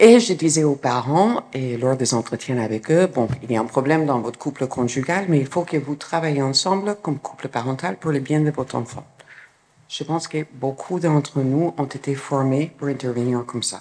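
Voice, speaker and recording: Speaking with hardly any pauses, a woman with a strong American accent and a very deep, low pitch shows big swings in loudness over noticeable background noise. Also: ordinary pitch variation, moderate pace. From New York, US. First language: English (speaking French). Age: 60s. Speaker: clinical psychologist. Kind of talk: conference talk.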